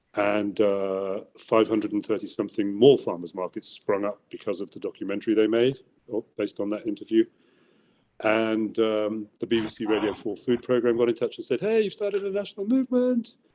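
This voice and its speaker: Speaking at a fairly quick pace, a man has an English accent. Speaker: environmental entrepreneur. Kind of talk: interview. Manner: loud; animated.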